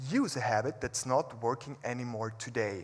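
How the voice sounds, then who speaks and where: Moderate-paced speech in a non-native accent. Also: man. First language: not English. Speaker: public speaker. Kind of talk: motivational talk.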